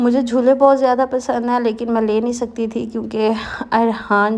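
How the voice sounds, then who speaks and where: A woman's fairly high, monotone voice with flat intonation, at a fairly slow pace. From Pakistan. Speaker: housewife vlogger. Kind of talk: vlog voice-over narration. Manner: casual, conversational.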